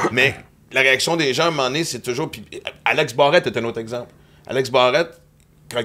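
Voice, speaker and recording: Speaking with a Quebec accent, a man of medium pitch talks at a fairly quick pace with ordinary pitch variation. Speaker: comedian and podcast host. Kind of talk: casual chat.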